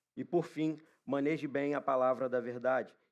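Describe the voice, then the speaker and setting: His intonation stays fairly even. The man's voice sits at a medium pitch. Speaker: preacher. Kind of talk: sermon. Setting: church.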